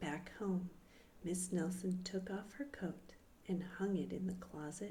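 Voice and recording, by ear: Someone reads text aloud, using a natural voice.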